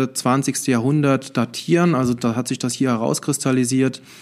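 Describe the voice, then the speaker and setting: His pitch sits in the medium range and varies in an ordinary way. The voice belongs to a man. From Germany, Nassau area (Rhineland-Palatinate). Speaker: civil servant and St. Martin performer. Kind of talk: interview. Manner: hesitant, many fillers.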